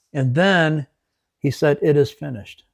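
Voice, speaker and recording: Fairly high in pitch, a man with an Upper Midwest accent speaks with fairly even intonation in a dry, close sound with no echo. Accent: Upper Midwest American. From West Michigan. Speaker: ministry leader, military veteran. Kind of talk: faith talk interview.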